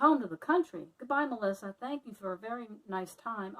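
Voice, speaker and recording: A fairly high-pitched, fairly quick put-on character voice from a woman. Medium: read story. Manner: gentle, timid.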